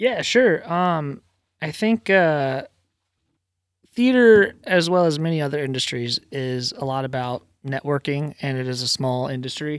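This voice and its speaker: At a fairly slow pace, a man with an American accent and a fairly high pitch has an ordinary speaking voice, recorded with a dry, close sound with no echo. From Virginia, US. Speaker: theater stage carpenter and automation technician. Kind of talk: casual chat.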